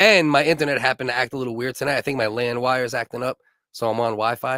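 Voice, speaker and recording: Loud and bright with a sharp tone, a man speaks very fast in a New York accent at a medium pitch with ordinary pitch variation, the sound dry and close with no echo. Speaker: live stream comedy host. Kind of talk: casual chat. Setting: live stream from basement.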